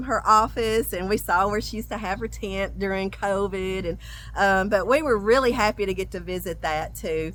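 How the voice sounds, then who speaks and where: Speaking at a fairly quick pace in a Southern US accent, a woman comes through on a very clean recording with a silent background. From US South. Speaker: travel vlogger. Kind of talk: casual chat. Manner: talkative; halting.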